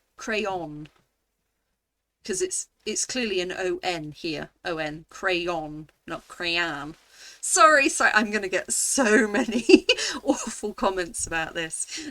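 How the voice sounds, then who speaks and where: In a British accent, a woman speaks very slowly at a medium pitch, her tone bright, sharp and playful. Her pitch swings very widely in a very clean recording with a silent background. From England. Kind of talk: casual talk to camera. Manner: chatty, playful.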